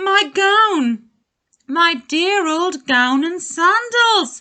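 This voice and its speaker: In a put-on character voice, a woman speaks at a very slow pace, raised and projected. The voice is squeaky and extremely high in pitch. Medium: read story. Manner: warm, cheerful.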